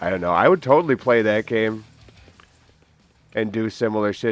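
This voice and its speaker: Over music in the background, a man with a fairly low pitch speaks at a fairly quick pace. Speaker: gaming commentary youtuber. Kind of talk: casual gameplay commentary. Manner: rambling, halting with repetitions.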